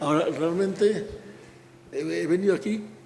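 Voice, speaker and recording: The man speaks at a moderate pace. Audible room echo and noticeable background noise fill the recording. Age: 90s. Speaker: architect. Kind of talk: public talk. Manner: halting.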